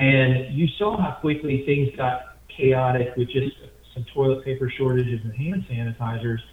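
Talking at a moderate pace with an American accent, a man with a medium pitch has a plain, everyday voice. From US Midwest. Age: 50s. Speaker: general contractor and former congressional candidate. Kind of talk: casual interview.

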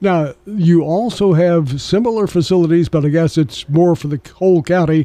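Dark and mellow in tone yet high in pitch, a man with an American accent speaks at a moderate pace with ordinary pitch variation. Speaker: radio host. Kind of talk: radio interview. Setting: studio.

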